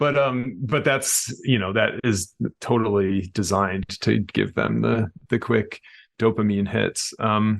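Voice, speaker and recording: Against a quiet background, a man with vocal fry speaks at a fairly slow pace and a fairly low pitch, keeping his loudness very even and his pitch variation ordinary. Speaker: professor and author. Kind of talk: interview conversation. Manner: halting, many fillers.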